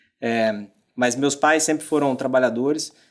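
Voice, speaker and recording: A moderately paced male voice on a very clean recording, the background silent. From Brazil, moved between Rio, Argentina and Mexico. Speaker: business executive. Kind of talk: podcast interview. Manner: halting, many fillers.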